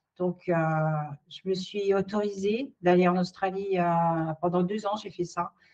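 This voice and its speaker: A woman speaks at medium pitch and a fairly slow pace. Her intonation stays fairly even. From France. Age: 60s. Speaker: career changer, interviewee. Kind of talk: testimony. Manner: halting, many hesitations.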